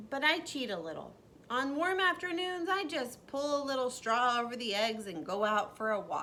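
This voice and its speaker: A woman puts on a character voice at a high pitch and a moderate pace. Clear background noise runs behind her. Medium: read story. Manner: repeats words, stutters playfully.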